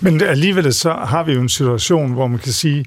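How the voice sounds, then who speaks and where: A man speaks in a normal speaking voice, pitched fairly high. His pace is moderate. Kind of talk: radio discussion, interview. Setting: studio.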